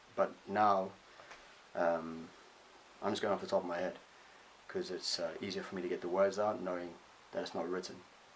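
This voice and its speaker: A man with a northern English accent speaks at a moderate pace with long, frequent pauses. Noticeable background noise runs behind him. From northern England. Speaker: vlogger. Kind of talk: personal vlog monologue. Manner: halting, many fillers.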